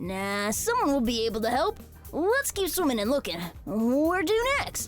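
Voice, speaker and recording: Over clear music in the background, a female-sounding put-on character voice speaks at a high pitch and a moderate pace. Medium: audio drama. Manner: bouncy, eager.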